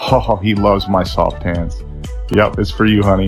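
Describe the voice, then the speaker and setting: A man speaks at a fairly quick pace in a playful yet serious tone. Music plays in the background. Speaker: husband doing a comedic voiceover. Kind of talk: comedic voiceover parody of a makeup tutorial. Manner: playful, mock-serious.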